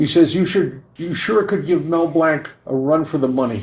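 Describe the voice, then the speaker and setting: A man with an unremarkable speaking voice talks at a moderate pace and a fairly high pitch with ordinary pitch variation. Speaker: podcast co-host and entertainer. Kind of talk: podcast host reading listener questions.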